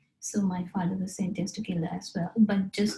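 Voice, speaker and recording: A woman with a Sri Lankan accent speaks at a medium pitch with monotone, flat intonation. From Sri Lanka, rural hill country. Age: 30s. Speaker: interviewee telling life story. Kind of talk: personal life story interview. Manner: halting, with fillers.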